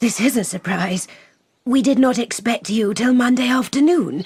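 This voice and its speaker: A woman uses a put-on character voice, pitched high, with ordinary pitch variation. Her pace is moderate. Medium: audio drama. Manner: prim, precise.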